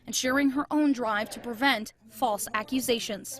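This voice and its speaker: A woman speaks in a high voice with fairly even intonation. Noticeable background noise can be heard. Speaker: TV news reporter. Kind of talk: TV news report.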